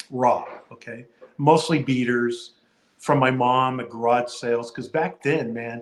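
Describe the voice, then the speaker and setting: A man with an unremarkable speaking voice talks at a fairly slow pace. His pitch is medium and his intonation fairly even. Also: big swings in loudness. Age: 60s. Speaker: card collector and video creator.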